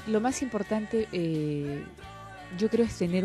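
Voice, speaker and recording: Over music in the background, a woman talks at a moderate pace with lively intonation. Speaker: TV news anchor. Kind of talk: interview answer.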